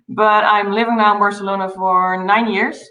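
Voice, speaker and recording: Speaking with a Dutch accent at a moderate pace, the voice stays monotone and flat in intonation, with audible room echo around it. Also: woman. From Netherlands. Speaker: travel company founder. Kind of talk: interview.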